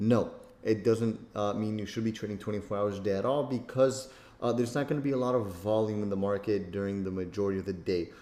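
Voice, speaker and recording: A man at medium pitch, talking at a very fast pace, with noticeable background noise. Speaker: trading instructor. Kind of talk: tutorial. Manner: casual, with many fillers.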